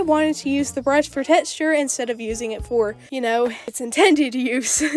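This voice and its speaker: Against noticeable background noise, a woman speaks in a high voice with lively intonation. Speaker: digital artist. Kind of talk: scripted YouTube voiceover commentary.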